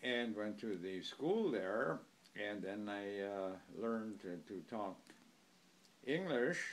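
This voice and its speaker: A man with an Upper Midwest accent, very slow in pace, with long, frequent pauses and audible room echo. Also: fairly low pitch for a man, ordinary pitch variation. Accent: Upper Midwest (Wisconsin). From US Midwest, Germantown, Wisconsin. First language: German. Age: 80s+. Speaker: oral history interviewee. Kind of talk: oral history interview. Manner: halting, with frequent fillers.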